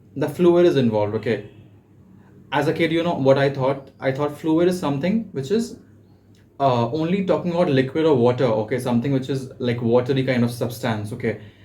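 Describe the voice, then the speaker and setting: At a fairly quick pace, a man speaks with a medium pitch and a dark, mellow tone that is somewhat breathy. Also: lively intonation. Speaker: personal tutor. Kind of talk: tutorial. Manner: halting, frequent fillers.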